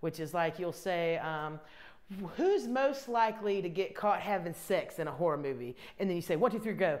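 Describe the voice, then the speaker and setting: Speaking with a Southern US accent, a woman keeps a moderate pace. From US South, Columbia, South Carolina. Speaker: comedian. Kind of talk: casual interview chat; live stream chat. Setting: bathtub live stream. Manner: animated.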